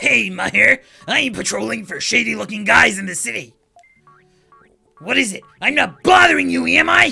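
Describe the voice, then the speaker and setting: A put-on character voice talks at a moderate pace over faint background music. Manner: brusque, gruff.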